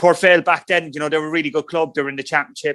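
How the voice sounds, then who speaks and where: The voice has a bright, sharp tone and fairly even intonation, with an Irish accent. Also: man. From Ireland, rural County Cork. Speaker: former professional footballer. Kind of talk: podcast interview.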